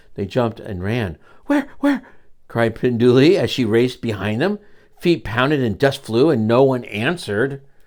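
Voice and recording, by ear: Lively intonation runs through the delivery. The text is read aloud in a natural voice.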